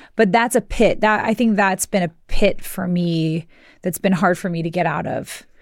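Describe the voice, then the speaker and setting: A woman uses a normal speaking voice at a medium pitch, with ordinary pitch variation and a moderate pace. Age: 40s. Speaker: podcast co-host. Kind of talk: casual chat.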